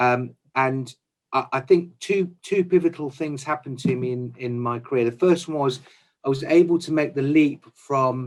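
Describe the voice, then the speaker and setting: A man speaks with an English Midlands accent at a moderate pace. His medium pitch shows ordinary variation. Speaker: chief procurement officer. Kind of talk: interview. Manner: hesitant, many fillers.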